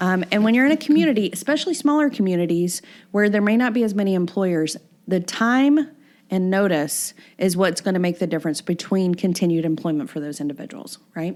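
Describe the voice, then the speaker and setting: Speaking fairly quickly with a Southern US accent, a woman uses lively intonation at a medium pitch on a very clean recording with a silent background. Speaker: podcast host, workforce consultant. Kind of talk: podcast discussion explaining regulations.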